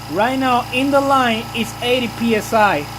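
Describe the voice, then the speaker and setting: Recorded with audible room echo and noticeable background noise, a man with a Puerto Rican accent speaks at an extremely high pitch with ordinary pitch variation. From Puerto Rico. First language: Spanish. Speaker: car detailer. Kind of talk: tutorial. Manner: casual, halting with fillers.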